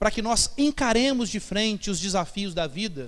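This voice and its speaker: High pitch from a man, with ordinary variation in pitch. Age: 30s. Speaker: pastor. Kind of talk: sermon. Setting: church.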